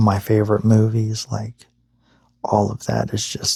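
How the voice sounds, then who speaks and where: Soft-spoken and somewhat breathy, a man talks at a fairly slow pace with a fairly low pitch and a dark, mellow tone. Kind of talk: ASMR boyfriend roleplay sleep ramble.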